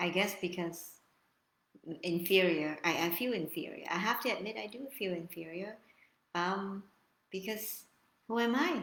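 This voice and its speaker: A woman at a medium pitch with a non-native accent, ordinary pitch variation, a moderate pace and long, frequent pauses. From Vietnam. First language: Vietnamese. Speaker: YouTuber. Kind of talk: live stream monologue. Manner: halting.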